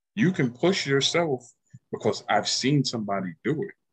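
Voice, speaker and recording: A man with a New York accent talks at a moderate pace, his pitch swinging very widely. His somewhat breathy voice sounds dry and close, with no echo. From Yonkers, New York. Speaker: podcast guest. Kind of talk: casual chat.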